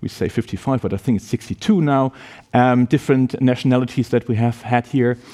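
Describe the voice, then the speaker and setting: A man with a German accent, medium-pitched and dark, mellow in tone, at a fairly quick pace in a dry, close sound with no echo. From Germany. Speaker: university professor. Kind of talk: presentation to prospective students.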